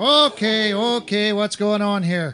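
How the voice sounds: Using a put-on character voice, a man speaks slowly in a high, bright, sharp tone that is also clear and smooth, with ordinary pitch variation.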